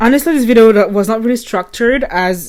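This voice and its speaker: In a French accent, a woman speaks with lively intonation. Her pace is moderate. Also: very clean recording, silent background. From France. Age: 20s. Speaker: vlogger. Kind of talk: casual monologue. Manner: rambling stream of consciousness.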